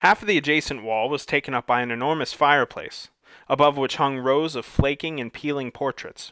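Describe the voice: The voice reads aloud in a plain way.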